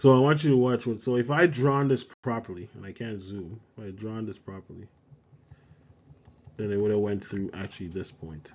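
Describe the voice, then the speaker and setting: In a plain, everyday voice, a man speaks at a fairly low pitch with ordinary pitch variation and big swings in loudness. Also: moderate pace. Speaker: math teacher. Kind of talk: tutorial.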